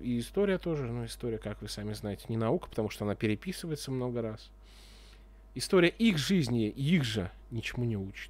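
The sound is dry with no echo as a man talks at a fairly quick pace. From Russia. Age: 30s. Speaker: video blogger. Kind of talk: casual monologue; casual vlog monologue. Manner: casual, hesitant. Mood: sarcastic, frustrated. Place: home room. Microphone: studio mic.

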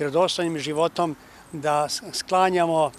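A man with monotone, flat intonation at a moderate pace, dry sound with no echo and light background noise. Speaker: bishop giving a press statement. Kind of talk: interview answer. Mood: calm, reflective. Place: garden. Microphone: handheld.

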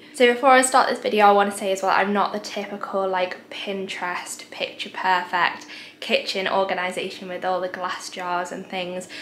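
Against light background noise and audible room echo, a woman talks with hardly any pauses and fairly even intonation. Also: moderate pace. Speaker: home cleaning vlogger. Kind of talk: casual vlog chat. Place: home room. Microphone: phone near.

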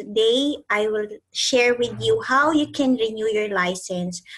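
Against a quiet background, a woman speaks at a fairly slow pace in a somewhat breathy voice with ordinary pitch variation. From Philippines. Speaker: accountant and training company founder; trainer. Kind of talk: tutorial. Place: home room. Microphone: webcam.

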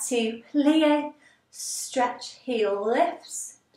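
In a room with audible echo, a woman speaks in a high voice with ordinary pitch variation. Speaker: ballet teacher. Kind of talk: tutorial instruction. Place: empty room. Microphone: camera far.

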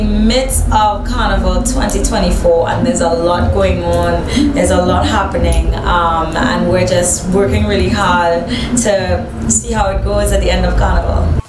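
Background music accompanies a woman who talks fairly slowly. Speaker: interviewee. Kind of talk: interview answer. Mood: calm, earnest advice. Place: home room.

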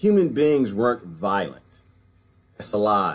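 The pace is fairly slow. The pitch takes very wide swings. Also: man. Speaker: vlogger or discussion speaker. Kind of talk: casual commentary. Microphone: webcam.

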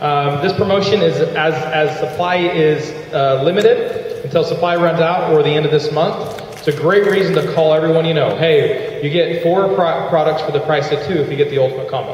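A man with a fairly high pitch talks fairly quickly with hardly any pauses. Audible room echo surrounds his voice. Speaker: network marketing leader. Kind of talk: motivational talk. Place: hall.

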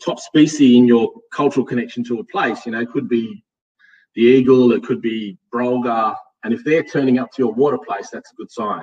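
Against a quiet background, a man with a medium pitch talks at a moderate pace. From Australia, Western Sydney; Australia. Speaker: hydrogeologist and associate professor; presenter. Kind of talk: audience Q&A; lecture. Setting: stage with live and online audience. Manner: halting, with many fillers.

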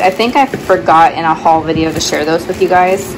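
Noticeable background noise accompanies a woman talking at a moderate pace. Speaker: thrift reseller. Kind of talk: casual vlog chat. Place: garage. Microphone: phone near.

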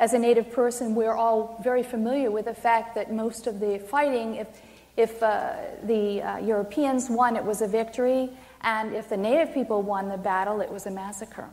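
A woman with a fairly high voice speaks at a moderate pace and keeps her intonation fairly even. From Maine, US. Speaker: poet. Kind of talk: poetry reading; poetry reading and talk to audience. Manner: halting. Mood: solemn, impassioned. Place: hall.

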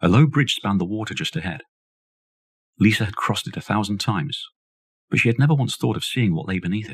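Speaking very fast yet with long, frequent pauses, a man uses a fairly low, somewhat breathy voice and a dramatic tone. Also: lively intonation. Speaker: audiobook narrator. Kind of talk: audiobook reading of a horror novella, scripted narration. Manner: measured, storytelling pace, dramatic and suspenseful.

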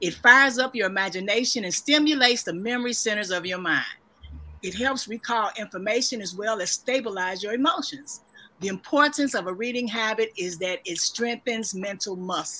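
Fairly high in pitch, a woman speaks with a bright, sharp tone. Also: ordinary pitch variation, fairly quick pace. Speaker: moderator. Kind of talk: interview. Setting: video call.

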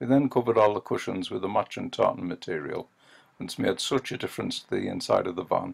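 A man with a Northeast English accent, speaking at a fairly quick pace. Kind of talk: casual voice-over narration.

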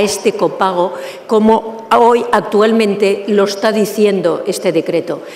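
A woman talks at a medium pitch over clear background noise.

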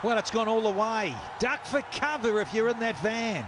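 Noticeable background noise around a man's moderate pace. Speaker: cricket commentator. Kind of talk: live commentary. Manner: colourful.

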